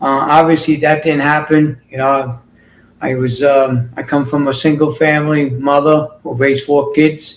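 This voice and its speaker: In a New York accent, the speaker goes at a moderate pace with monotone, flat intonation. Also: man, fairly high pitch for a man. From New York City. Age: 60s. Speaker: fitness and healing coach. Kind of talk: interview. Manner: halting.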